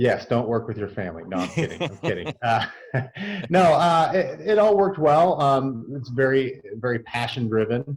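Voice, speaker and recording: Speaking at a moderate pace, the man has a medium pitch, very wide pitch swings, and a somewhat breathy quality. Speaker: construction business owner. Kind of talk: interview answer.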